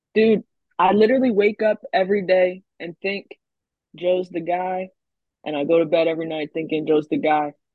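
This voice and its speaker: The speaker has a plain, everyday voice. Pitch variation is ordinary and the pace is moderate. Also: woman, medium pitch for a woman. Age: 20s. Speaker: rap artist. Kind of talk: casual chat.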